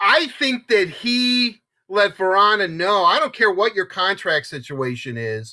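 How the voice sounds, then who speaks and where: Raised and projected, a man's high-pitched voice has a bright, sharp tone, an animated delivery and very wide pitch swings. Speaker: hockey show co-host. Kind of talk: casual sports talk. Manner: fast.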